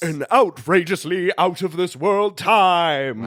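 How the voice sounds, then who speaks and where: A man puts on a character voice with a high pitch, speaking at a fairly slow pace. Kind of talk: announcer. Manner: dramatic, booming.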